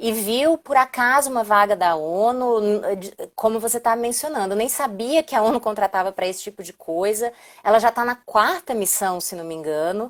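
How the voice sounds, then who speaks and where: A woman with a Brazilian accent speaks at a fairly high pitch. Her intonation is lively. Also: moderate pace, big swings in loudness. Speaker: diplomat. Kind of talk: live stream interview.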